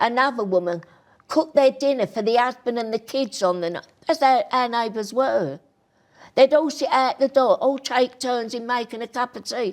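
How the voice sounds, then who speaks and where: A woman speaks with a high pitch in a Cockney accent. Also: ordinary pitch variation, moderate pace. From East London (Bethnal Green). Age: 80s+. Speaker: grandmother and show host. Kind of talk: interview about her life. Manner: animated.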